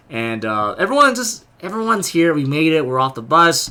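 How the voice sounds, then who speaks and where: A loud man's voice with a bright, sharp tone. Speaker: vlogger and convention delegate. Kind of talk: casual vlog. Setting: outdoors in a line.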